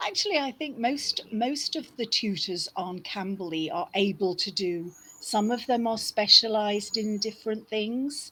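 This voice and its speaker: Lively in intonation and fairly high in pitch, a woman speaks with hardly any pauses. Noticeable background noise runs behind her. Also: fairly slow pace. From England, Liverpool. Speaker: online English tutor. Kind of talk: casual conversation lesson.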